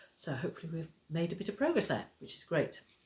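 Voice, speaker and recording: Speech comes quickly enough, with a somewhat breathy quality throughout. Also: woman. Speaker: crochet and knitting teacher, craft vlogger. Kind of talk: casual vlog chat. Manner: chatty, hesitant with fillers.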